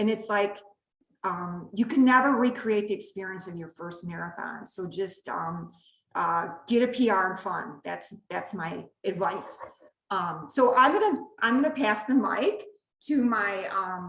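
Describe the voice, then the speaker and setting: A woman speaks at a moderate pace and a medium pitch, with vocal fry and ordinary pitch variation. Her loudness swings widely, and she takes long, frequent pauses. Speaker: running coach. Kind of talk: online clinic hosting. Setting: video call. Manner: animated.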